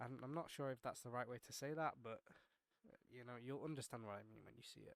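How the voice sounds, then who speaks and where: A man speaks at a very fast pace with big swings in loudness and long, frequent pauses. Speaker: tech tutorial youtuber. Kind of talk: tutorial.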